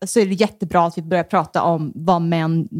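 The background is silent and the recording very clean. The voice belongs to a woman. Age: 30s. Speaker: comedian. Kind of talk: casual chat. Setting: host's home. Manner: soothing, rolling delivery.

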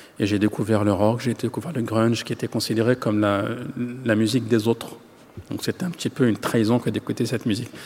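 A man talks at a very fast pace, his medium-pitched voice fairly even in intonation. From France, Yvelines housing estate. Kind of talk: interview.

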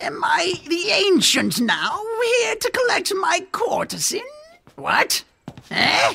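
The speaker uses a put-on character voice at an extremely high pitch. The pace is very slow. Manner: doddering, hard of hearing.

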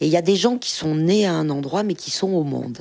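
This woman has a fairly low pitch. Her intonation is lively. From France, Saint-Étienne region. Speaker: photographer and filmmaker. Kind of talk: interview talk with readings from her book. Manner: hesitant, many filler sounds.

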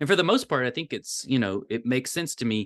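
Against a quiet background, a man with a Tennessee accent speaks at a very fast pace and medium pitch. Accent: Southern US (Tennessee). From US South, rural Tennessee. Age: 40s. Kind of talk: casual interview. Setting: video call.

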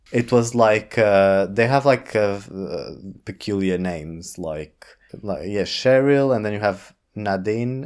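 A man with a Portuguese accent at medium pitch, fairly slow and with ordinary pitch variation, on a very clean recording with a silent background. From Portugal. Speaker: drag artist. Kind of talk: casual chat.

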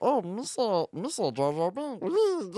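The speaker puts on a character voice. It sits fairly high. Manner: silly, exaggerated.

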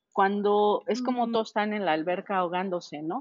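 A plain, everyday voice from a woman, medium in pitch, fairly slow, with lively intonation. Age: 40s. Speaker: customs trade consultant. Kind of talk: interview.

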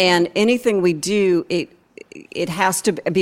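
This woman has a plain, everyday voice at a medium pitch with ordinary pitch variation. The recording is very clean, with a silent background. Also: dry, close sound with no echo. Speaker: architect and design firm director. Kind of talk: lightning-round interview at a live event. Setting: stage with live audience.

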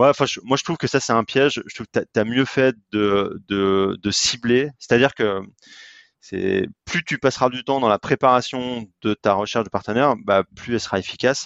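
The man's medium-pitched voice shows ordinary pitch variation and holds a moderate pace. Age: 30s. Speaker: sports event partnership entrepreneur. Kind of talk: podcast interview. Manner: halting, frequent repetitions.

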